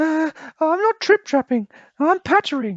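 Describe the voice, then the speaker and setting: A squeaky, high-pitched put-on character voice. It moves along at a moderate pace. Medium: read story.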